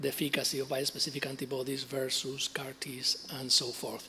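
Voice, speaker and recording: With noticeable background noise behind him, a man talks at a moderate pace and medium pitch in a monotone, flat way. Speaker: cancer researcher. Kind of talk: conference talk. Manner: halting, many fillers.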